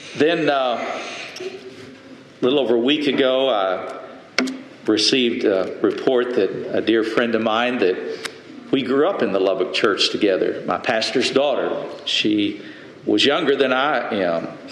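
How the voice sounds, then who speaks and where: Noticeable background noise runs beneath speech delivered at a fairly slow pace. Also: man. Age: 80s+. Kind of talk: sermon.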